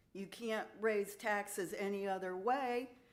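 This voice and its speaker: Audible room echo surrounds a woman who speaks at a fairly slow pace, with a medium pitch and fairly even intonation. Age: 70s. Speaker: resident giving public comment. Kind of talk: public comment at council meeting.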